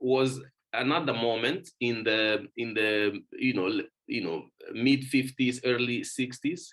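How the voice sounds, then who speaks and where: A man speaks very slowly. His tone is bright and sharp. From Mozambique. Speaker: author and researcher. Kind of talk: lecture. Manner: halting, many fillers and repetitions.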